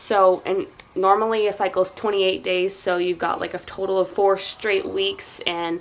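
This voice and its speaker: Amid noticeable background noise, a woman talks at medium pitch and a moderate pace. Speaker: stay-at-home mom vlogger. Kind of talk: casual vlog update. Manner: hesitant, many fillers.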